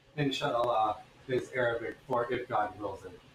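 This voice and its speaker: Over noticeable background noise, a man talks at a fairly slow pace with a medium pitch. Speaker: blacksmith streamer. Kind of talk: casual chat.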